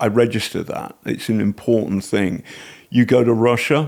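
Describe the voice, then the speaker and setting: A man speaks with an English accent at a moderate pace. His pitch is fairly low, and his intonation is fairly even. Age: 60s. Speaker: investigative journalist and author. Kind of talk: casual chat. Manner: halting.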